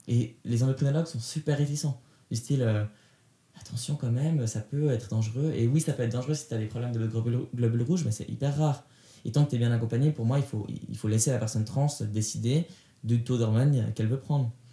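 A man's dark, mellow, somewhat breathy tone at a very fast pace with fairly even intonation. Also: medium pitch for a man. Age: 20s. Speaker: podcast interviewee sharing life story. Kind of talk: testimony. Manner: halting with frequent hesitations.

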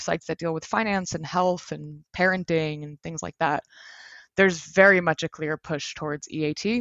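A woman speaks at a moderate pace with fairly even intonation and a fairly low pitch. It is an ordinary speaking voice. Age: 30s. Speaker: SEO agency director. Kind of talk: interview.

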